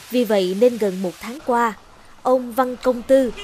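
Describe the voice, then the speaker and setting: Against noticeable background noise, a woman talks at a fairly slow pace and a fairly high pitch. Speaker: news presenter. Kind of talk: news reading. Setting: studio.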